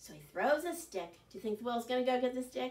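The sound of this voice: A woman speaks at a fast pace with a fairly high pitch and lively intonation.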